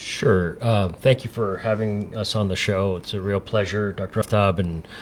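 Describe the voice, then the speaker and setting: With an American accent, a man speaks at a moderate pace and a fairly low pitch. His intonation stays fairly even. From United States, California. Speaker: public health organization founder. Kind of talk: radio interview. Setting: studio. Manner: hesitant, many fillers.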